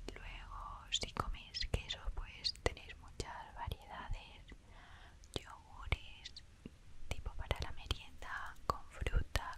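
A woman whispers, going very slowly. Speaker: ASMR artist. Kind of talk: ASMR storytime. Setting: close to the microphone. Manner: whispered, soft-spoken. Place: home room. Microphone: studio mic.

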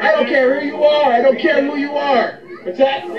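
With noticeable noise behind him, a man speaks at an extremely high pitch with fairly even intonation. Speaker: health and wellness commentator, chiropractic-minded podcaster. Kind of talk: angry anti-establishment rant, preacher-like sermon to camera. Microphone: phone near.

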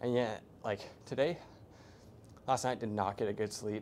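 With light background noise, a man talks at a moderate pace. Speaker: fitness vlogger. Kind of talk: casual vlog chat. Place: gym. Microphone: lapel.

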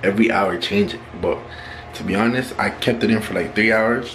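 Amid noticeable background noise, a man with a fairly low pitch talks at a moderate pace with fairly even intonation. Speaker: vlogger. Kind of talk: casual vlog chat. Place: home room. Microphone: phone near.

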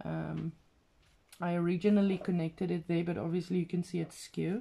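Someone with a non-native accent and a dark, mellow tone speaks at a moderate pace. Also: woman. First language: not English. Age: 40s. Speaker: craft vlogger. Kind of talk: casual craft tutorial video. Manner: halting, with fillers. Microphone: phone near.

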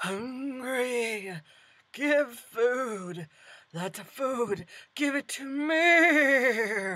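A female-sounding put-on character voice speaks very slowly at a high pitch. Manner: crude broken speech, greedy.

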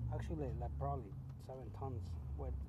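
Loud noise fills the background as a man talks. His voice sounds dry, without any echo. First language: Spanish. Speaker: truck driver vlogger. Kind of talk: casual vlog monologue. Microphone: phone near.

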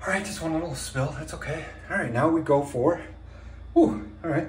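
A man talks at a fairly quick pace, with light background noise and audible room echo. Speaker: self-filming vlogger. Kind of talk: casual vlog chat. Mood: in pain, strained. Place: bathroom. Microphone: phone near.

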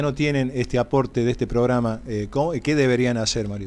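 A man with an ordinary speaking voice talks at a moderate pace. His pitch is medium, with ordinary variation. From Córdoba, Argentina. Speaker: sports TV co-host. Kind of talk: interview questions on live TV. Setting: TV studio. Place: studio. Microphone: podium.

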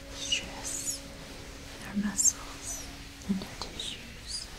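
Very slowly, a woman whispers. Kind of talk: soft-spoken relaxation roleplay. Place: home room.

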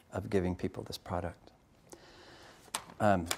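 This is a man's voice. He is soft-spoken. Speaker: coffee company founder and CEO. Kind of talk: public lecture. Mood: soft-spoken, relaxed. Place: hall.

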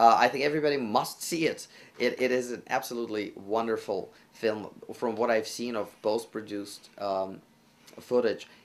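Spoken in a Russian accent at a moderate pace, the voice keeps a fairly even intonation. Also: man. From Russia, Moscow. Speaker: classical pianist and actor; actor. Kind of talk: interview. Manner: halting, frequent fillers and repetitions. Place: studio.

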